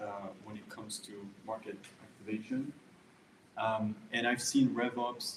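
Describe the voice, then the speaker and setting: A man with a French accent speaks at a fairly slow pace. His voice is somewhat breathy, with monotone, flat intonation. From France. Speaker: go-to-market consultant. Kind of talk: panel introduction at meetup. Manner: hesitant, many fillers.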